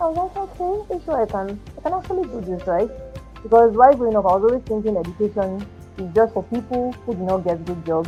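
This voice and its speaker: Over music in the background, a woman with a fairly high pitch talks at a very fast pace with very wide pitch swings. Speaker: educator. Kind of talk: podcast interview answer. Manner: soft-spoken.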